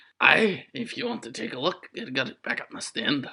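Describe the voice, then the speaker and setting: A raspy, put-on character voice at a middle pitch swings very widely in pitch while keeping a moderate pace. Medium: actual play.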